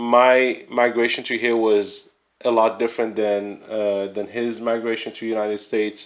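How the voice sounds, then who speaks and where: With a non-native accent, a man speaks at a moderate pace and a fairly low pitch in a monotone, flat intonation. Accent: non-native English, slurred words. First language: not English. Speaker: podcast host. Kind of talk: casual chat. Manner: halting.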